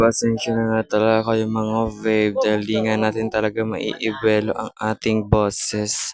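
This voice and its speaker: Speech comes at a fairly slow speed. The sound is dry and close, without echo. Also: man. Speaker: vlogger. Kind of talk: vlog voice-over. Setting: at home, in bedroom.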